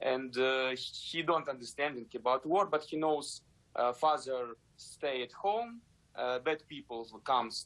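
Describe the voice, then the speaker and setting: A man with a Ukrainian accent speaks in a medium-pitched voice. His pace is fairly slow. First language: Ukrainian or Russian. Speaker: ballet dancer. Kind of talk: interview. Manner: halting, many fillers.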